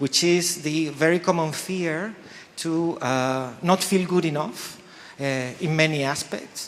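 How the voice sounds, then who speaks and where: A man speaks at a moderate pace with ordinary pitch variation. Noticeable background noise can be heard. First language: not English. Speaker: faculty host introducing event. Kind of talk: event opening speech. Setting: lecture hall with audience. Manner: halting with many fillers.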